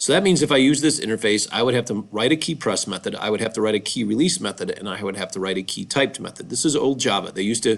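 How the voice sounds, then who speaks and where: With ordinary pitch variation, a man's medium-pitched voice races along at a very fast pace. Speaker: programming teacher. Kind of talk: tutorial.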